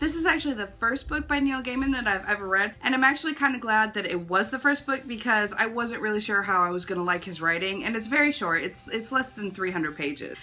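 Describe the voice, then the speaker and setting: The speech runs at a very fast pace with hardly any pauses and lively intonation. Background noise is noticeable. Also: woman, fairly high pitch for a woman. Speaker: book reviewer. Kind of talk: casual talk to camera.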